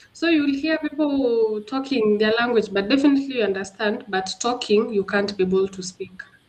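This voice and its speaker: With a Kenyan accent, a woman speaks in a fairly high pitch with ordinary pitch variation. She barely pauses, and there is noticeable background noise. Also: moderate pace. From Kenya, Embu County. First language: Kimbere. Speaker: guest sharing personal experience. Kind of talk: interview. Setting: livestream.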